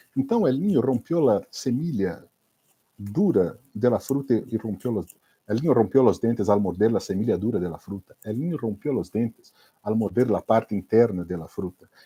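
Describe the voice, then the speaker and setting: A man's somewhat breathy, dark and mellow voice at medium pitch with a Minas Gerais accent, lively intonation and a moderate pace, in a dry, close sound with no echo. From Brazil, Minas Gerais. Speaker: Spanish teacher for exam prep. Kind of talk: online class / live lecture. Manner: casual, conversational.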